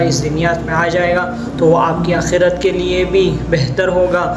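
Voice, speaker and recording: A man speaks at a high pitch in a flat, monotone way. Music plays in the background. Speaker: Islamic religious teacher. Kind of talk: promotional appeal for a religious school.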